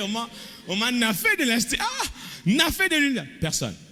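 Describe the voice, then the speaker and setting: A man speaks in a raised, projected voice with very wide pitch swings. Noticeable background noise and audible room echo are present. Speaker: pastor. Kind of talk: sermon.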